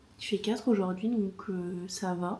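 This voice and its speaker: Pitch shifts in an ordinary way here. The speaker is a woman. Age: 20s. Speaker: vlogger. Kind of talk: casual vlog talk to camera. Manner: casual, hesitant with many fillers.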